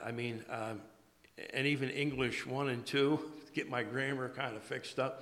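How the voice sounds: A man with a rural American accent speaks in a bright, sharp tone. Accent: American, rural twang.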